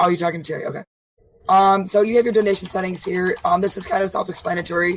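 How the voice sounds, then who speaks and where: The delivery is monotone, with flat intonation. It moves at a very fast pace. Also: woman, medium pitch for a woman. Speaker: co-host streamer. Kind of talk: live streamed tutorial talk. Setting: live stream.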